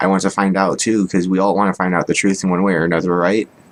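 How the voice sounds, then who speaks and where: The man's fairly low voice holds a fairly even intonation. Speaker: vlogger sharing personal beliefs. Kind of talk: monologue to camera. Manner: monotone; low-key, not dynamic.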